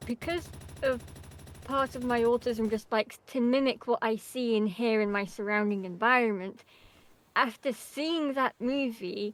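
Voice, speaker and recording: Quietly and at a moderate pace, a woman talks with a fairly high pitch and ordinary pitch variation. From England. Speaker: video game streamer. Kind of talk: casual chat.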